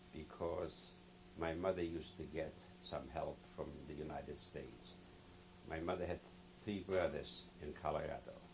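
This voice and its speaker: Amid noticeable background noise and audible room echo, a man with a very deep, low voice speaks at a moderate pace and fairly even intonation, with long, frequent pauses. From Poland, Lodz. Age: 70s. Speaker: Holocaust survivor. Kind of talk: testimony. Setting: recorded interview.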